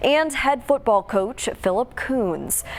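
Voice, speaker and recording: A woman talks in a high voice while music plays in the background. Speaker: TV news anchor and reporter. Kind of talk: TV news anchor read.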